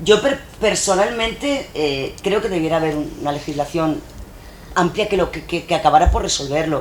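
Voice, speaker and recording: Speech moves at a moderate pace. Noticeable background noise is present. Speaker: public official or trade union leader. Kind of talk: panel discussion. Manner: halting.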